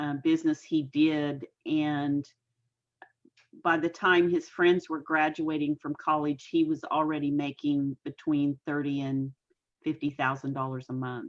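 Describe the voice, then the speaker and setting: At a fairly slow pace and in a very deep, low pitch, a woman speaks with monotone, flat intonation in a dry, close sound with no echo. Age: 60s. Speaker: entrepreneur and life coach. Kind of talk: casual interview chat. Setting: facebook live stream.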